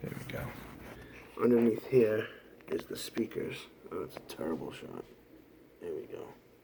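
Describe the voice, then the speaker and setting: A soft-spoken man talks at a moderate pace with long, frequent pauses. His loudness swings widely, and there is noticeable background noise. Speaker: DIY hobbyist YouTuber. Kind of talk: casual tutorial.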